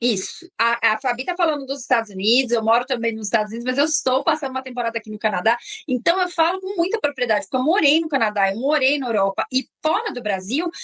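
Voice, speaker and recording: A woman talks very fast with a high pitch, lively intonation and an animated tone, hardly pausing at all. The sound is dry and close, with no echo. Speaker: exchange program agent. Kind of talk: interview on a live stream.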